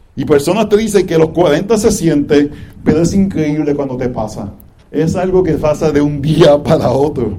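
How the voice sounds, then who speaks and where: Lively intonation marks a man's fairly high-pitched voice. He keeps a moderate pace, and audible room echo surrounds him. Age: 40s. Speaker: pastor. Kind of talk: sermon.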